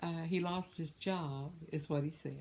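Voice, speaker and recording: A woman speaks with a dark, mellow tone and ordinary pitch variation. Her voice is somewhat breathy. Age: 70s. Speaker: vlogger. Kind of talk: casual chat. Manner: rambling.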